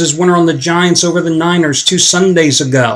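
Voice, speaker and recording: Background noise stands out clearly. The talking proceeds at a middling speed. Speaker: sports betting handicapping promoter. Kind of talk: sales pitch. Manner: mumbling.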